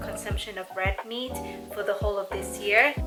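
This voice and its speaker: A woman's voice with music in the background. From Thailand. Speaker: lifestyle vlogger. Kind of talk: cooking vlog narration. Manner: casual.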